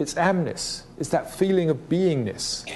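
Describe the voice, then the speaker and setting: A man with a British accent speaks at a fairly slow pace. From Britain. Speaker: speaker on consciousness and spirituality. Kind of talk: talk. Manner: reflective, with hesitations.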